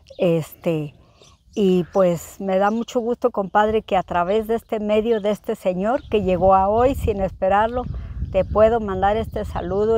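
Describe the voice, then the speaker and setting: A dark, mellow tone with fairly even intonation at a fairly slow pace, in a dry sound with no echo. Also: woman. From Zacatecas, Mexico (rural, near Jerez); Zacatecas, Mexico. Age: 60s. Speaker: rural homemaker; interviewee. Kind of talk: interview. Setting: at her home, rural village. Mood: warm, nostalgic. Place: farm machine.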